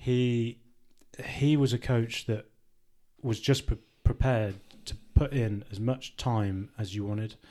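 A man's medium-pitched voice with a dark, mellow tone, a fairly slow pace, and long, frequent pauses. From Worcester, England. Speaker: retired rugby player, financial adviser. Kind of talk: casual interview. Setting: in person, socially distanced.

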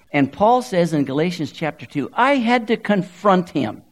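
A man speaks in an American accent at a high pitch. His pitch swings very widely. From Southern California. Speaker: guest preacher. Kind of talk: sermon.

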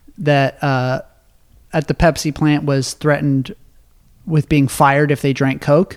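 This is an unremarkable speaking voice at a moderate pace. The sound is dry and close, with no echo. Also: man. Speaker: podcast host. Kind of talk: casual chat.

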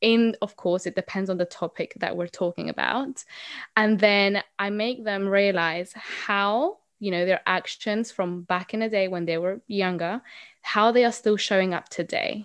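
A woman with a Spanish accent speaks at a fairly slow pace with fairly even intonation and a medium pitch. The sound is dry and close with no echo, and the background is quiet. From Colombia. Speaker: mindset coach. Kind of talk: interview.

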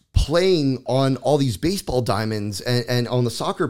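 A man's normal speaking voice with an American accent, at a medium pitch and with ordinary pitch variation, in a very clean recording with a silent background. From South Florida. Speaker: paint company representative. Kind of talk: casual interview.

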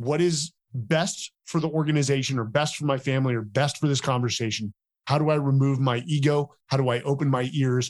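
A man with a normal speaking voice and an American accent talks at a fairly quick pace and a fairly high pitch, his loudness very even and his intonation fairly even. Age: 40s. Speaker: military veteran and author. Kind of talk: interview.

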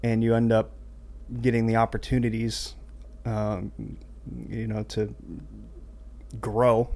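A man speaks at a fairly slow pace. He leaves long pauses, and often. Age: 30s. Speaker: church audio engineer. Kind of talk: casual chat.

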